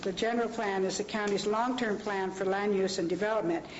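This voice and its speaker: Noticeable background noise and audible room echo surround a woman talking at a very fast pace. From US West, Los Angeles. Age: 60s. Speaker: public commenter at county meeting. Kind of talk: public comment speech. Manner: halting.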